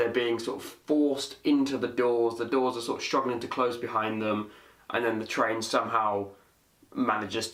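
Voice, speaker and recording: This is a man with a British accent. His voice sits at a medium pitch. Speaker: vlogger. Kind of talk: casual talk to camera.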